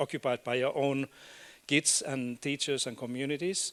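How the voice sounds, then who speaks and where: In a Finnish accent, a man speaks at a fairly high pitch with monotone, flat intonation, captured dry and close with no echo on a very clean recording with a silent background. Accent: non-native English, Finnish. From Finland. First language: Finnish and Swedish. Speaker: education academic and policy expert. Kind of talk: conference keynote talk. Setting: stage with audience. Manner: halting, with fillers and repeats.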